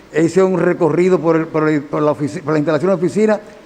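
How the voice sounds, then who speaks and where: Noticeable background noise is present. Over it, a man talks at a fairly high pitch. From Dominican Republic, Santiago. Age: 70s. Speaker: engineer, defendant in court hearing. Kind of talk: court testimony. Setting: courtroom hearing.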